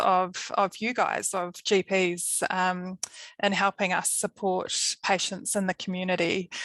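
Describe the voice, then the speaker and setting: Speaking fairly slowly, a woman has a medium pitch and a New Zealand accent. The sound is dry and close with no echo, over a quiet background. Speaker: palliative care nurse. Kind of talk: webinar presentation.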